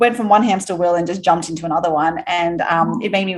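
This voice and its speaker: At a very fast pace, a woman with a fairly low pitch speaks with ordinary pitch variation. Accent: Australian. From Australia, Sydney. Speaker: entrepreneur, company founder. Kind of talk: podcast interview.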